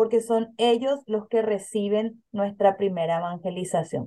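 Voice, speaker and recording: A woman with a normal speaking voice talks at a fairly slow pace, her pitch fairly high with ordinary variation. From Paraguay. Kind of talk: interview.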